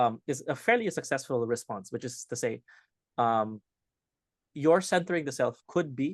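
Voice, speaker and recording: Lively intonation carries a moderate pace broken by long, frequent pauses. The sound is dry and close with no echo, and the background is quiet. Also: man, medium pitch for a man. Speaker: competitive debater. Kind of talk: round review discussion.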